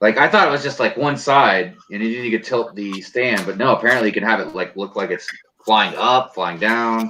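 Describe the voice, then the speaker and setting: This is a normal speaking voice with an American accent. The pace is moderate and the pitch variation ordinary. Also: man, medium pitch for a man. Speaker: Lego channel host. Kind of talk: casual chat. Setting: live stream video call.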